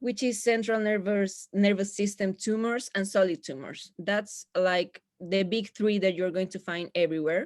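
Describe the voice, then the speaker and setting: A woman at a moderate pace, with hardly any pauses and ordinary pitch variation. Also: medium pitch for a woman. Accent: Spanish. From Chile. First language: Spanish. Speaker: physiotherapist. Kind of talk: lecture.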